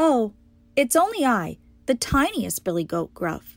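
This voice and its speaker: A female-sounding, high-pitched put-on character voice speaks at a moderate pace in a very clean recording with a silent background. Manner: timid.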